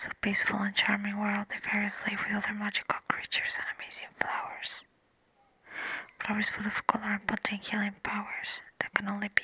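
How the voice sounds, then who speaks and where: A woman whispers over noticeable background noise. The sound is dry and close, with no echo. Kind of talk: ASMR story reading. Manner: soft-spoken.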